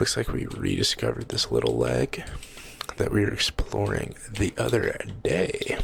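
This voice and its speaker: Soft-spoken delivery at a fairly slow pace comes through over noticeable background noise. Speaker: ASMR gaming creator. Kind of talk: soft-spoken ASMR gameplay commentary. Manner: repeats phrases, occasional fake stutter.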